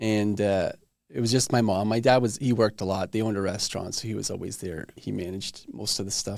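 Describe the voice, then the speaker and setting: A man with a plain, everyday voice talks at a fairly quick pace, his fairly low pitch carrying fairly even intonation. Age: 40s. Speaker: podcast host. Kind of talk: casual interview chat.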